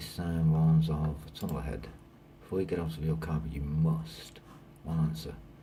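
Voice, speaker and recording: In a British accent, a man mumbles with a very deep, low pitch and flat, monotone intonation. Audible room echo and noticeable background noise fill the recording. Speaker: trainee lorry driver. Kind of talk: reading quiz questions aloud while taking a mock test. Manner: mumbling; fast, hurried.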